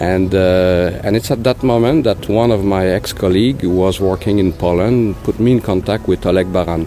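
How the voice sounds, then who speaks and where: A man with a Quebec accent speaks in a very deep, low voice with ordinary pitch variation and very even loudness. He keeps a moderate pace with hardly any pauses as music plays in the background. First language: French. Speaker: pig production consultant. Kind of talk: interview. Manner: halting, many fillers.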